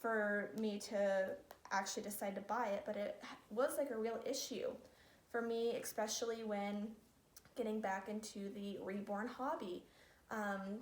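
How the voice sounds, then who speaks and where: A woman with a fairly high pitch and fairly even intonation, long, frequent pauses, audible room echo and noticeable background noise. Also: fairly slow pace. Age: 20s. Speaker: reborn doll collector vlogger. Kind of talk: casual vlog talk. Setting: living room at home.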